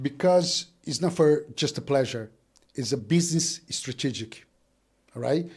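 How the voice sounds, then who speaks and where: In a very clean recording with a silent background, a man speaks with a Brazilian Portuguese accent. His voice is fairly high, with a dark, mellow tone and ordinary pitch variation. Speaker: business owner. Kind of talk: casual chat. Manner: halting, repeats words.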